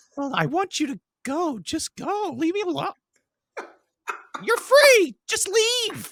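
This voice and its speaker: A put-on character voice pitched extremely high swings very widely in pitch. It moves at a fairly slow pace with long, frequent pauses. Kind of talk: parody overdub of film dialogue. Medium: game stream.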